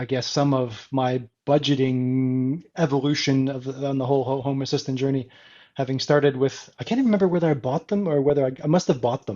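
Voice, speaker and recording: In an American accent, a man speaks at a fairly quick pace and medium pitch, with ordinary pitch variation. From Canada. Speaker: smart home enthusiast. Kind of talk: casual chat.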